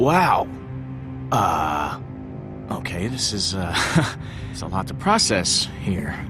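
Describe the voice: A man's slow, low-pitched put-on character voice with big pitch swings over clear music in the background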